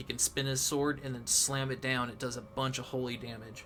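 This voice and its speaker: This man speaks at a medium pitch. His intonation is monotone and flat. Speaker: gaming YouTuber. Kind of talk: gameplay commentary. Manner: casual, many fillers.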